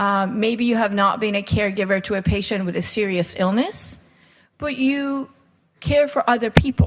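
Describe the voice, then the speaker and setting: On a very clean recording with a silent background, a woman speaks at a moderate pace with a fairly high, somewhat breathy voice and ordinary pitch variation. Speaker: palliative care doctor and wellness coach. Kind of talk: workshop talk.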